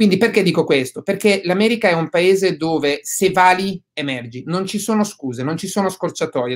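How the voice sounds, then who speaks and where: The pitch varies in an ordinary way at a moderate pace. The background is quiet. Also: man. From southern Italy. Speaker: real estate investor; guest. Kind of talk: webinar interview. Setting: video call. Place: home room. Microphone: webcam.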